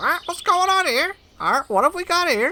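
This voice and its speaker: Someone uses a put-on character voice at an extremely high pitch. The pace is moderate. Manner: squawky, inquisitive.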